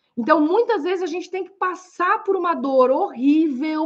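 A woman at a moderate pace. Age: 40s. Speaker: coach and podcast host. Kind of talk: live-stream lecture. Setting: live stream on Instagram and YouTube. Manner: animated.

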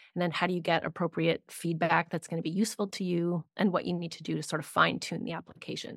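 Vocal fry colors a woman's fairly low voice as she speaks with fairly even intonation. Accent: Canadian. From Canada. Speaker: grant writing consultant. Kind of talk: interview conversation.

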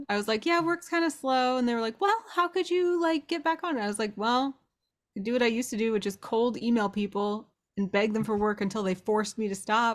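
Quick-paced and lively in intonation, a woman uses an ordinary speaking voice at a fairly high pitch. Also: very clean recording, silent background. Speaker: tabletop roleplaying player. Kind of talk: casual banter and roleplay.

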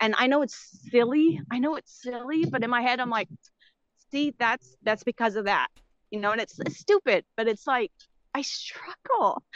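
The speaker has an American accent and a lively intonation at a moderate pace. The sound is dry and close, with no echo. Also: woman, high pitch for a woman. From Texas. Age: 40s. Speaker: caller. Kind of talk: casual call-in conversation. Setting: video call.

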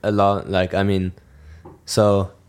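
In a German accent, a man speaks on a very clean recording with a silent background. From southern Germany, near Munich. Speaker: student podcast co-host. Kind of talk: casual chat.

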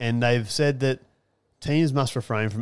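An Australian accent from a man, on a very clean recording with a silent background. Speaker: podcast co-host. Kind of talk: casual sports chat podcast.

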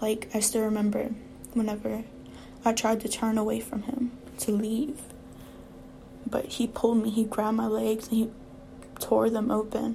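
A woman with a fairly high voice speaks in a monotone, flat way with long, frequent pauses, against noticeable background noise. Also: moderate pace. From Louisiana. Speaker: podcaster. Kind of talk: personal testimony. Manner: halting.

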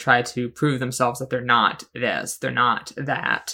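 This man talks at a moderate pace in a bright, sharp tone. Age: 20s. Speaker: podcast co-host. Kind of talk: casual chat.

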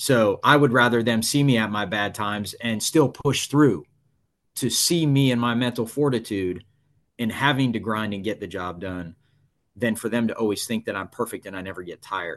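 This is a man with a normal speaking voice at a medium pitch. He keeps a moderate pace with ordinary pitch variation. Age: 40s. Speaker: fire battalion chief. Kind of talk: interview.

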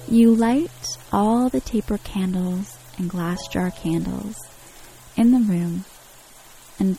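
Over noticeable background noise, a soothing, calm voice moves at a very slow pace with lively intonation. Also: woman. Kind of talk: guided meditation. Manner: slow, soothing, dreamy, calm; gentle, hushed, with long pauses.

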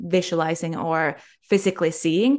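Against a quiet background, a woman talks at a moderate pace in a normal speaking voice. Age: young. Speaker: spiritual healer. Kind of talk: interview.

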